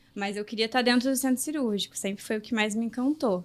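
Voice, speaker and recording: A woman's fairly high voice with ordinary pitch variation, an ordinary speaking voice, on a very clean recording with a silent background. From Rio de Janeiro state interior (Itaperuna). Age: 20s. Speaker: medical resident in gynecology. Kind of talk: podcast interview.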